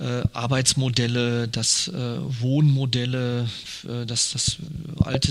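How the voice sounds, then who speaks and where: A man at a medium pitch speaks in a monotone, flat way over noticeable background noise. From Ruhr area, Germany. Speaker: wine merchant. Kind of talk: interview. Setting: at his wine shop.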